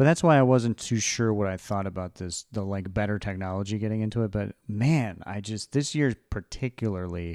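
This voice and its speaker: On a very clean recording with a silent background and a dry, close sound with no echo, a man speaks in a normal speaking voice at a moderate pace, his pitch fairly low with ordinary variation. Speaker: podcast host. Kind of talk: casual chat.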